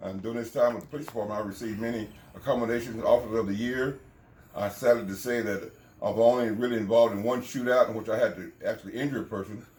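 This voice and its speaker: At a very fast pace, a man talks with fairly even intonation. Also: medium pitch for a man, big swings in loudness. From Texas, Abilene. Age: 70s. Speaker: retired police officer and preacher. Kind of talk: interview.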